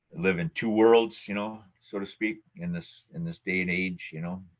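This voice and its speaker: A man with an Upper Midwest accent talks at a moderate pace, his intonation fairly even. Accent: Upper Midwest American. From Minnesota, Twin Cities suburbs. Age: 60s. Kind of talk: oral history interview. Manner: halting, many fillers.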